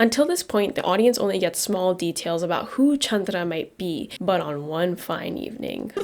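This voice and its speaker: Quiet speech at a moderate pace with hardly any pauses and lively intonation, over noticeable background noise. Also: woman, medium pitch for a woman. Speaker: movie reviewer. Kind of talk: scripted video review.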